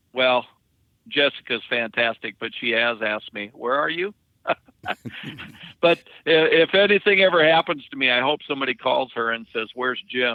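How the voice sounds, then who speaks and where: A man speaks at a medium pitch and moderate pace with lively intonation. Long, frequent pauses break up his speech. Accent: American. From Dakotas, US Upper Midwest. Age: 60s. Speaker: truck driver. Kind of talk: casual interview. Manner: halting.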